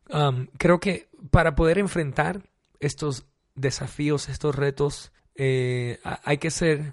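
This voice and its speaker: Speech comes very slowly, the intonation fairly even. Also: man. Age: 30s. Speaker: worship pastor. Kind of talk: interview. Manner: hesitant, many fillers.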